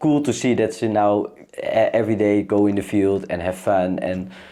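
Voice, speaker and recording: With a non-native accent, a man speaks at a fairly low pitch in a dark, mellow tone with ordinary pitch variation. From Netherlands, Amsterdam. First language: Dutch. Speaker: para-equestrian athlete. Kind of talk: casual chat. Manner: halting.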